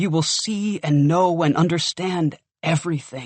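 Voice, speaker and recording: At a moderate pace, a man puts on a character voice that sits high and keeps fairly even intonation. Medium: read story. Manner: casual, reassuring.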